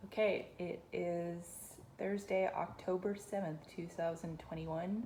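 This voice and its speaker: Fairly slow and with fairly even intonation, a woman talks in an unremarkable speaking voice. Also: fairly low pitch for a woman. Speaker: interviewer. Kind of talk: casual interview questions.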